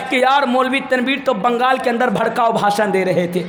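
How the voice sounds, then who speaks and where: A man's speech comes through with audible room echo over noticeable background noise. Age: 20s. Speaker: Islamic preacher. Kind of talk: religious speech. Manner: impassioned oratory.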